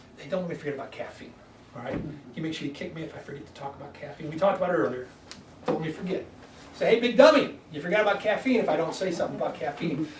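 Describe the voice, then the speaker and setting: In an excited tone, a man talks at a very fast pace and a high pitch, with audible room echo and noticeable background noise. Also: lively intonation. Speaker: wellness doctor giving a weight loss workshop. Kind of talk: health workshop talk to a live group. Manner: fast, excited; animated.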